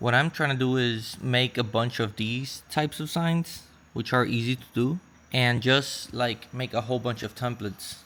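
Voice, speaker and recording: Bright and sharp in tone, this man talks with a non-native accent and fairly even intonation. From Puerto Rico. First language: Spanish. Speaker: online seller vlogger. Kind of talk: vlog tutorial.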